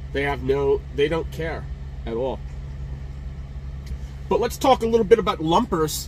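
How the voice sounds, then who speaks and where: A man at a moderate pace, dry sound with no echo, light background noise. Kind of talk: casual vlog chat. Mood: frustrated, emotional. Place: car. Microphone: phone near.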